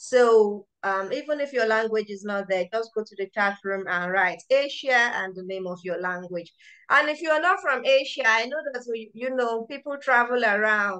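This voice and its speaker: A woman with a Nigerian accent speaks at a fairly high pitch with a bright, sharp tone, lively intonation, big swings in loudness and hardly any pauses. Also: moderate pace. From Nigeria (Yoruba). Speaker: medical researcher and event organiser. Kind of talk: public lecture and book launch hosting.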